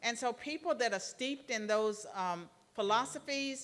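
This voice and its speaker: This woman's voice sits fairly high in pitch. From Virginia. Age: 60s. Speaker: retired professor. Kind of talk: lecture Q&A. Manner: halting.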